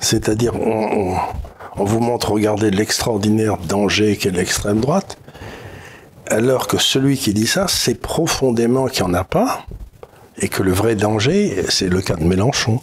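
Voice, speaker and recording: Against noticeable background noise, a man speaks at a fairly low pitch and fairly slow pace, with very even loudness, ordinary pitch variation and long, frequent pauses. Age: 70s. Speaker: economist commentator. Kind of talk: casual political discussion.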